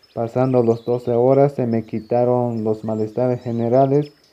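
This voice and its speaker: In a monotone, flat intonation, this man talks fairly slowly. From Mexico, Chiapas (San Juan Cancuc). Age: 20s. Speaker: vaccinated community member. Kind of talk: recorded testimony.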